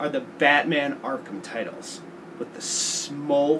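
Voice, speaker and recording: Noticeable background noise runs through the clip. A man talks at a very slow pace. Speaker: tech and gaming video host. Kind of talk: casual talk to camera.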